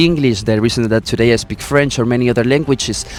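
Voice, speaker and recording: With music playing behind him, a man at medium pitch speaks very fast with a Spanish accent. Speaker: resort employee. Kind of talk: interview. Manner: halting.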